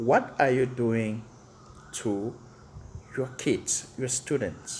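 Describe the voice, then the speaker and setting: The man's voice is medium in pitch and somewhat breathy. He speaks at a very slow pace. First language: not English. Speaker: teacher. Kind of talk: rant to camera. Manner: animated.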